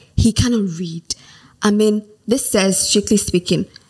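This woman's voice is somewhat breathy. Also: dry, close sound with no echo. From Nigeria. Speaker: diction coach. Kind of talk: interview.

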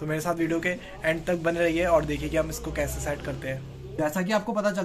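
A man is speaking. His pace is fairly quick. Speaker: vlogger. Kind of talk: casual vlog chat, product unboxing. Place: home room. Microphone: phone near.

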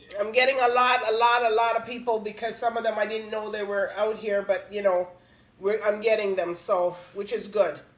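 A woman with a rather high pitch talks at a moderate speed and mostly level intonation while clear noise runs in the background. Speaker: talk show host. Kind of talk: casual interview.

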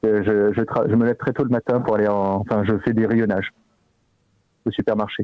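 A man speaks at a moderate pace in a fairly low pitch and a monotone, flat intonation, with very even loudness, long, frequent pauses, a dry sound with no echo and a quiet background. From Corsica, Ajaccio; Corsica. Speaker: company phone employee; streamer making prank call. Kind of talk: phone call. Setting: phone call. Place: home room.

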